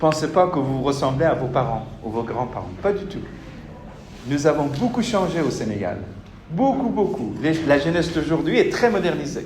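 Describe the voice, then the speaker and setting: A man at a fairly high pitch with very wide pitch swings and a moderate pace, amid audible room echo and noticeable background noise. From Senegal. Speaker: university lecturer. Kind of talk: lecture. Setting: classroom with students. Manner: interactive, addresses students directly.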